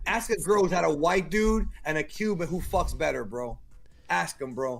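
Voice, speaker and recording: Over music in the background, a man with a fairly high voice speaks at a moderate pace in an animated tone with lively intonation. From Cuba. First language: Spanish. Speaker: podcast guest. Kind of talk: casual chat. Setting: group call.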